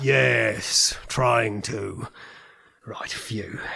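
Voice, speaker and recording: Putting on a character voice, a man speaks at a medium pitch in a raspy tone. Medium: comedy sketch. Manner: clipped, exasperated, authoritative.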